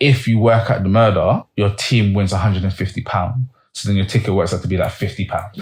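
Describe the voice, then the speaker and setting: A man in a London accent, somewhat breathy and fairly low-pitched, at a fairly quick pace with fairly even intonation and a quiet background. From East London, England. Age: 30s. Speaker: film producer and director. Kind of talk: casual interview chat.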